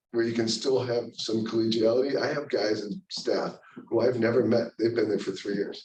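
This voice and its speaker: A man with an American accent mumbles at a moderate pace and medium pitch, with fairly even intonation. Room echo is audible. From US Midwest, Cleveland Ohio. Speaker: orthopedic surgeon. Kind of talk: lecture. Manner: mumbling.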